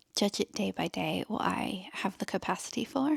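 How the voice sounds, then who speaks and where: On a very clean recording with a silent background and a dry, close sound with no echo, a woman speaks with an English accent. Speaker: lifestyle vlogger. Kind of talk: casual vlog chat.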